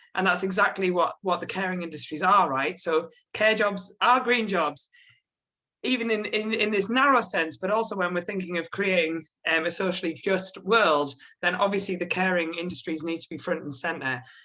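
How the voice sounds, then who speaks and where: A woman's medium-pitched voice, bright and sharp in tone, with a strong British accent. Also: ordinary pitch variation, moderate pace. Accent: strong regional UK. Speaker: policy researcher. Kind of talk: panel presentation.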